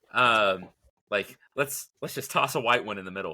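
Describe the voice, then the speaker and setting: On a very clean recording with a silent background, a man speaks at a moderate pace with a bright, sharp tone. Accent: Texan. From Texas (Lubbock). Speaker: plant expert. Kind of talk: casual chat.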